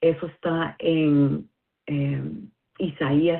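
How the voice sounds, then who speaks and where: A woman with a non-native accent speaks in a very deep, low voice, her intonation fairly even. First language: not Spanish (speaking Spanish). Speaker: listener sharing a message. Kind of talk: recorded listener message. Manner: halting, many fillers.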